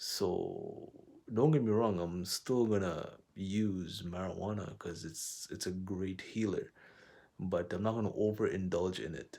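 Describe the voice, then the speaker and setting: A man speaks at a fairly slow pace with a fairly low pitch. His tone is dark and mellow, with ordinary pitch variation. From Quebec, Montreal. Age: 20s. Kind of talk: personal vlog monologue. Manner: casual.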